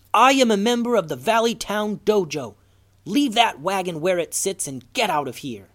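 A man shouting in a put-on character voice, high-pitched, with very wide pitch swings, big swings in loudness and a moderate pace. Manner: stern, yelling.

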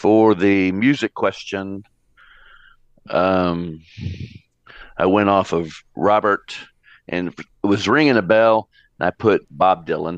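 Against a quiet background, a man speaks at a very slow pace with long, frequent pauses. His fairly low voice has ordinary pitch variation and a dry, close sound with no echo. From Atlanta, Georgia. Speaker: soccer coach and business owner. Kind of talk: quiz game chat.

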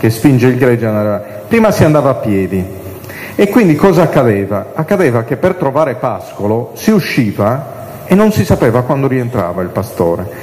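Recorded with audible room echo and noticeable background noise, a man with a Sardinian accent speaks at medium pitch with very wide pitch swings. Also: moderate pace. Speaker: priest and liturgy lecturer. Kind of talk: catechesis lecture.

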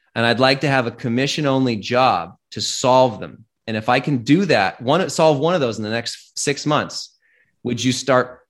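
On a very clean recording with a silent background, a man with an American accent and a plain, everyday voice speaks at medium pitch and a moderate pace with ordinary pitch variation. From US Pacific Northwest, Seattle. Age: 30s. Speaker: tech entrepreneur. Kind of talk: interview conversation.

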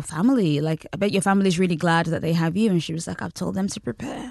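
Talking at a very fast pace, a woman with a British accent has a dark, mellow tone. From Britain and Nigeria. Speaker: journalist. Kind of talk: interview. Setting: studio.

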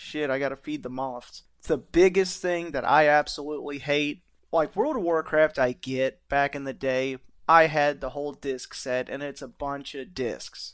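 This is a man with a normal speaking voice and a fairly high pitch, talking at a moderate pace. The recording is very clean, with a silent background. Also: fairly even intonation. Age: 30s. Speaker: podcast host. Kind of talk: casual chat.

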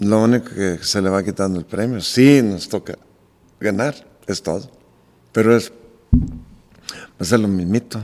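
A plain, everyday voice from a man, fairly low in pitch, with ordinary pitch variation at a fairly slow pace. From Michoacán, Mexico. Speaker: charro team owner and restaurateur. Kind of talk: casual chat. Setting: at his home.

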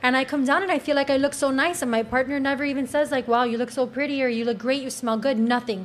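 A woman with a Cuban accent speaks at a very fast pace in a high pitch, with fairly even intonation and hardly any pauses. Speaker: panel guest. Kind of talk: heated debate.

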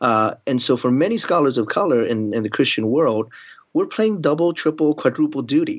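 With an American accent and an ordinary speaking voice, a man talks at a fairly high pitch with lively intonation over a quiet background. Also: moderate pace. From US, Baltimore. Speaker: seminary professor. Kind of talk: interview.

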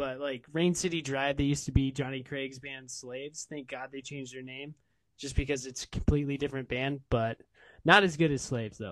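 Using a plain, everyday voice, a man with an American accent talks at a fairly quick pace in a fairly high pitch, his intonation fairly even and his loudness swinging widely. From Des Moines, Iowa. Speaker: podcaster. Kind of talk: casual chat. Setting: video call.

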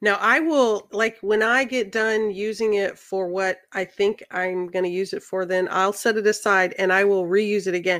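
With an American accent and an ordinary speaking voice, a woman of medium pitch talks at a moderate pace with fairly even intonation and hardly any pauses. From central Missouri, US Midwest. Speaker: accountant and hobby woodworker. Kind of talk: casual chat. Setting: video call.

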